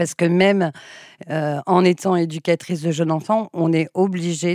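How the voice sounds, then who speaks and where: On a very clean recording with a silent background, a woman speaks at a fairly slow pace in a very deep, low voice, the sound dry and close with no echo. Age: 50s. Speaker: childminder. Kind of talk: interview.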